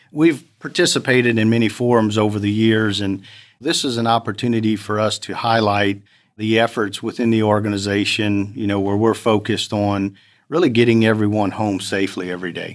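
Fairly low-pitched and quick, a man talks with an American accent and fairly even intonation. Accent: South Louisiana (Cajun-tinged) US Southern. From US South, Lafayette, Louisiana. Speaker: oil and gas safety manager. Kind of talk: interview conversation.

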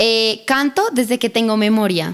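Her pitch fairly high and her intonation lively, a woman with a Bogotá accent talks at a moderate pace. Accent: Bogotá Colombian. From Bogotá, Colombia. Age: 20s. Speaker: singer. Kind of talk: interview.

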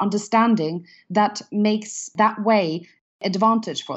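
In a Norwegian accent, a woman speaks at a fairly high pitch. Her voice is somewhat breathy. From Norway. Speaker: business founder and CEO. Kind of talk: casual interview chat.

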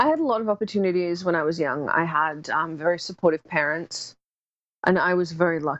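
Set against a quiet background, an ordinary speaking voice moves at a fairly quick pace with ordinary pitch variation. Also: woman, fairly low pitch for a woman. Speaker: public speaker and film marketing consultant. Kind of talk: interview.

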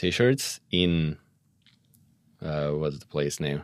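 Very slowly, a man speaks in a Russian accent. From Moscow, Russia. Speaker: guest. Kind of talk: casual chat.

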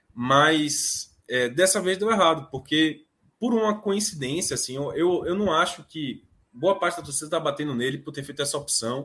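Speaking at a moderate pace in a Bahian accent, a man uses a fairly high pitch with ordinary pitch variation and a bright, sharp tone. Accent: Bahian Brazilian Portuguese. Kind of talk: casual chat.

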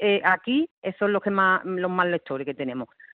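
A woman with very wide pitch swings. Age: 40s. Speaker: rural public librarian. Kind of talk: radio interview.

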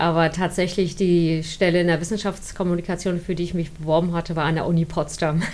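A woman's fairly low voice, dark and mellow in tone, at a fairly quick pace. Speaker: science communicator, former student newspaper editor. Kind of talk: interview, personal recollection.

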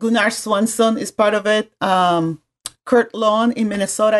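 A woman speaks with a Spanish accent at a fairly high pitch. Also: dry, close sound with no echo. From Puerto Rico. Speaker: graphic design professor. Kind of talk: casual interview.

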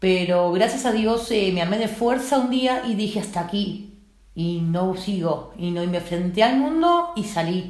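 At a fairly slow pace, a woman with a medium pitch speaks with lively intonation, and room echo can be heard. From Uruguay. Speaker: trafficking survivor. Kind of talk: testimony. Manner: halting.

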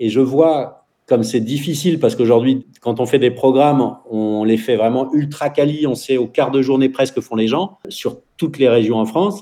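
A man speaks at a medium pitch with a dark, mellow tone. His pitch varies in an ordinary way, and he hardly pauses. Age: 40s. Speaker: entrepreneur and school founder. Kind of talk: radio interview. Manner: talkative, fast.

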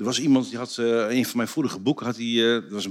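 A man with a plain, everyday voice speaks at medium pitch and a fairly quick pace. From Netherlands, Drenthe (Borger). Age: 50s. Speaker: trendwatcher and author. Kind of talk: casual chat. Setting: stage with audience.

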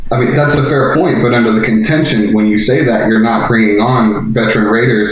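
Over noticeable background noise, a man talks at a fairly quick pace with medium pitch and ordinary pitch variation. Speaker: caller. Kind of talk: heated debate. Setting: phone call.

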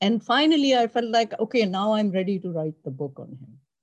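This woman talks at a moderate pace with lively intonation. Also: quiet background. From Pakistan. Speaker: oncologist and author. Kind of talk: panel discussion.

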